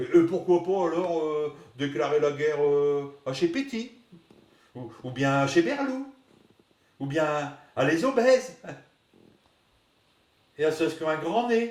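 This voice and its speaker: A man with a northern French accent speaks at a very slow pace with long, frequent pauses. His fairly high voice moves in very wide pitch swings. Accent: northern French Ch'ti. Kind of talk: comic sketch dialogue. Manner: hesitant, rambling.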